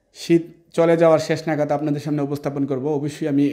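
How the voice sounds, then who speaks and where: A man speaks in a fairly high pitch with a dark, mellow tone and monotone, flat intonation. The background is quiet. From Bangladesh, Brahmanbaria; Bangladesh. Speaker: mobile repair trainer. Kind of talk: video presentation. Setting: training lab. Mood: apologetic, earnest. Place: classroom. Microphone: lapel.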